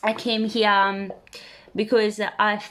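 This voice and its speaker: In a very clean recording with a silent background, a woman speaks at a medium pitch. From Italy. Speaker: vlogger. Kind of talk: casual self-introduction to camera. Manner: hesitant, many fillers.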